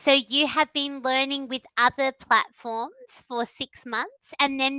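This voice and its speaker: A woman with an Australian accent uses a raised, projected voice with a bright, sharp tone and high pitch, fairly even intonation and a very slow pace, in a dry, close sound with no echo. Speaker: online English tutor. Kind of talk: online English lesson conversation.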